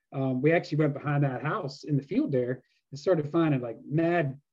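A man with an American accent, an ordinary speaking voice, fairly high in pitch. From US, Pennsylvania (York). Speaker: metal detecting YouTuber. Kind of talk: casual chat.

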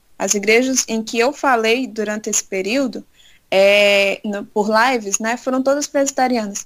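A woman speaks with a plain, everyday voice at a fairly high pitch. Her intonation is fairly even and her pace fairly slow. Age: 20s. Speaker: church youth leader. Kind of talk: interview.

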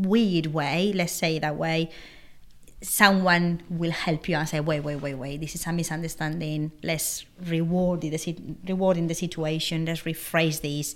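A woman with a Spanish accent speaks at a fairly low pitch in a monotone, flat intonation. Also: moderate pace. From Spain. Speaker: podcast co-host. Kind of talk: interview.

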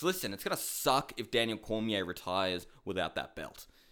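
A man with an Australian accent talks at a moderate pace and medium pitch in a bright, sharp tone, on a very clean recording with a silent background. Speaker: MMA podcast host. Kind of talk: casual solo commentary.

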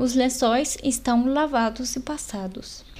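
A woman speaks at a very slow pace. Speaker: language podcast host. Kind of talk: language tutorial.

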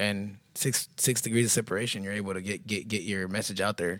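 A very deep, low-pitched man's voice with a Texan accent, at a very fast pace. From Texas, Houston east side. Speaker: boxing gym partner. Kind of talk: casual chat. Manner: halting, repeats words.

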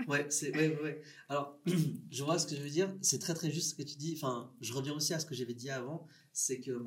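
A man talks at a moderate pace in a fairly high, somewhat breathy voice with fairly even intonation. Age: 30s. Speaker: filmmaker. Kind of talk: casual interview.

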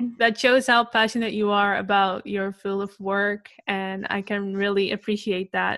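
A woman speaks at a moderate pace with a medium pitch. Her tone is bright and sharp, with monotone, flat intonation. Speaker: podcast host. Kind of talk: casual interview chat.

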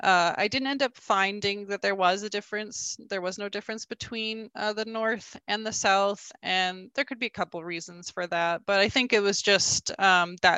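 A woman with a Canadian accent and an unremarkable speaking voice talks at a moderate pace and medium pitch with fairly even intonation. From rural Alberta, Canada. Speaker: bee inspector and researcher. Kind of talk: interview.

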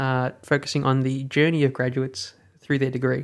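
A man with an Australian accent speaks at a fairly quick pace in a fairly high pitch. His intonation is monotone and flat, and the recording is very clean with a silent background. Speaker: podcast host. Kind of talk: interview.

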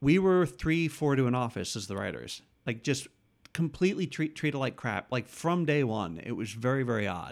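A man with an unremarkable speaking voice, an American accent and lively intonation, on a very clean recording with a silent background. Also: medium pitch for a man, moderate pace. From New York state, about eighty miles north of the city. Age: 50s. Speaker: TV comedy writer. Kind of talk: casual interview chat. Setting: host's apartment.

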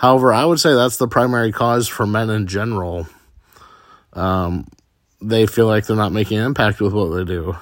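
A man with an unremarkable speaking voice, fairly low pitch, ordinary pitch variation and a moderate pace. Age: 30s. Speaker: podcaster. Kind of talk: personal monologue.

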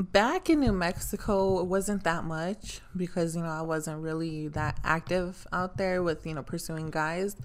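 On a very clean recording with a silent background, an ordinary speaking voice proceeds fairly slowly with fairly even intonation. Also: woman, fairly low pitch for a woman. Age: 20s. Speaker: podcast guest, friend of host. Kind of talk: casual chat.

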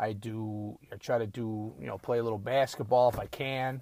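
At a moderate pace, a man speaks with medium pitch and fairly even intonation. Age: 50s. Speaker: podcaster. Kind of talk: casual monologue. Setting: at home. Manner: halting.

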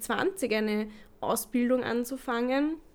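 Her high-pitched voice shows ordinary pitch variation as the woman speaks. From Lower Austria. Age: 20s. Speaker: podcast co-host, kindergarten teacher. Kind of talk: casual chat.

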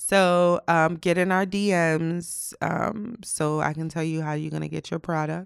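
A woman with an ordinary speaking voice, fairly low in pitch, with fairly even intonation, a fairly slow pace and hardly any pauses, in a very clean recording with a silent background. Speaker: podcast co-host. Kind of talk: casual chat. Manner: laughs often.

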